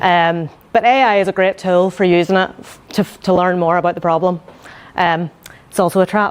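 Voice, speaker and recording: In a Northern Irish accent, a woman at a medium pitch talks at a fairly quick pace, her intonation fairly even but her loudness swinging widely. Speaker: UX design manager. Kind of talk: conference talk. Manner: quiet, needs to project; hesitant, many fillers.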